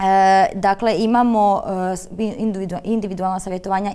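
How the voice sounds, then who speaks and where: Moderate pace from a female speaker. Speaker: special education therapist. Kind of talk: studio interview. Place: studio. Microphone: lapel.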